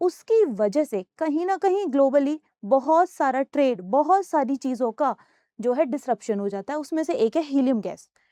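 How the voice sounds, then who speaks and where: High in pitch yet dark and mellow in tone, a woman speaks with lively intonation at a moderate pace in a dry, close sound with no echo. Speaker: UPSC coaching teacher. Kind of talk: classroom lecture on current affairs.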